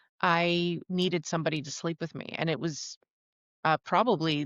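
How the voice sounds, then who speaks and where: With an American accent, a woman talks at a moderate pace in a very deep, low voice with vocal fry, recorded dry and close with no echo against a quiet background. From New Jersey. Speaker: voice-over artist and actress, quadriplegic. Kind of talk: interview.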